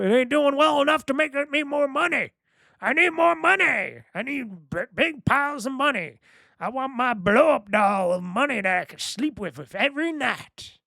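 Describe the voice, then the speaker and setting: A man's put-on character voice at an extremely high pitch, on a very clean recording with a silent background. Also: moderate pace. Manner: greedy, cartoonish.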